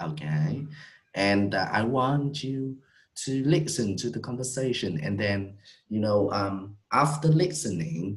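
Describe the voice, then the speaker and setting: Somewhat breathy, a man speaks at a fairly slow pace in a fairly low voice. His pitch swings very widely. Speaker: English teacher. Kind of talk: online English lesson.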